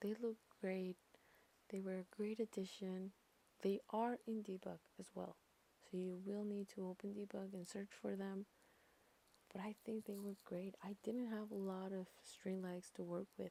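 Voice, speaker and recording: Whispering and soft-spoken, the speaker goes at a fairly slow pace with long, frequent pauses. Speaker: gaming YouTuber. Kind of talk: voiceover narration of a speed build. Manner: soft, whispering; insecure, hesitant.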